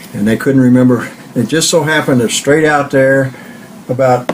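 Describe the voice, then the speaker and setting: Amid noticeable background noise, a man with a Midwestern American accent talks at a moderate pace. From US Midwest (southeast Kansas). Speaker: grandfather interviewee. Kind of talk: oral history interview.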